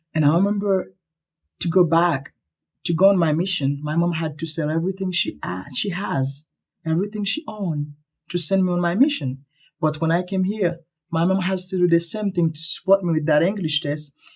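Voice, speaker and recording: A man speaks with a Haitian accent at a high pitch. His pace is fairly quick and his pitch variation ordinary. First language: Haitian Creole or French. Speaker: earthquake survivor. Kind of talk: interview.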